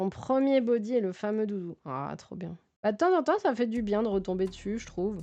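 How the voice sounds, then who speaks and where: Her dark, mellow tone sits at a fairly high pitch as this woman speaks at a moderate pace, with lively intonation and big swings in loudness. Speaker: streamer and physiotherapist. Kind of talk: casual live stream chat while building. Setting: live stream. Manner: calm, soothing low-key tone.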